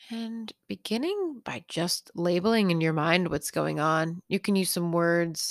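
A woman with a normal speaking voice talks at a fairly slow pace and fairly low pitch with ordinary pitch variation and hardly any pauses, the sound dry and close with no echo. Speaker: meditation teacher. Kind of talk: guided meditation for pain relief, gently leading breath and body awareness. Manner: gentle, soothing and unhurried, with slow reassuring pacing; warm and casual, lightly humorous and encouraging.

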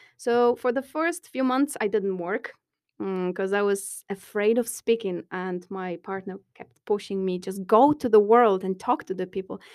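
A woman's medium-pitched voice with a Polish accent, moderate pace and ordinary pitch variation, in a very clean recording with a silent background. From Poland. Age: 30s. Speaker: construction engineer. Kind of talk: casual interview. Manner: loud; bubbly, animated.

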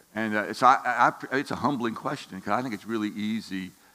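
A man with a fairly low pitch talks at a fairly quick pace. His intonation stays fairly even. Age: 60s. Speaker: lay Bible teacher. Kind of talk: sermon. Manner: halting.

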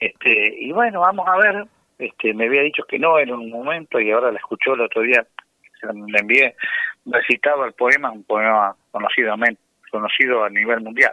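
Pausing often and at length, a man talks at a moderate pace. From rural Buenos Aires Province, Argentina. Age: 60s. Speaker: folk singer and farmer. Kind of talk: radio interview.

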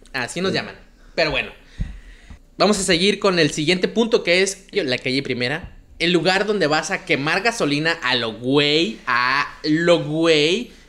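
A man's high voice carries a bright, sharp tone and lively intonation. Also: fairly slow pace. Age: 20s. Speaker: comedy podcast host. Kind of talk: casual comedic chat.

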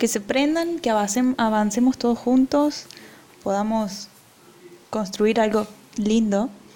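Against noticeable background noise, a woman with a fairly high pitch and ordinary pitch variation talks at a very slow pace, with long, frequent pauses and very even loudness. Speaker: podcast co-host. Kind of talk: casual chat.

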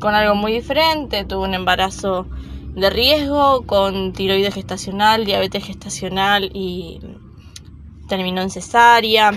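A woman speaks at a medium pitch and a fairly slow pace. Music plays in the background. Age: 20s. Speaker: mother sharing birth experience. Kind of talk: personal testimony. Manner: hesitant, with fillers.

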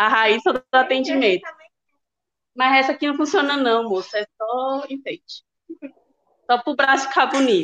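A woman speaks at a high pitch in a bright, sharp tone with ordinary pitch variation and a moderate pace. She takes long, frequent pauses, and the sound is dry and close with no echo. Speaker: listener, kidney patient and mother. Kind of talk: casual chat. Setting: video call from hospital bed.

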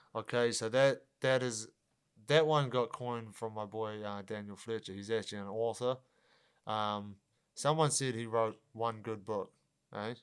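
A man speaks with a New Zealand accent and fairly even intonation. The recording is very clean, with a silent background. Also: medium pitch for a man, moderate pace. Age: 20s. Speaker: professional MMA fighter. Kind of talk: casual chat.

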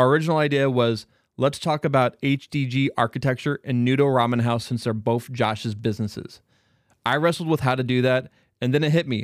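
An unremarkable speaking voice from a man, medium in pitch and fairly quick, with fairly even intonation, a dry, close sound with no echo, and a very clean recording with a silent background. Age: 40s. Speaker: podcast co-host and producer. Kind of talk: scripted narration.

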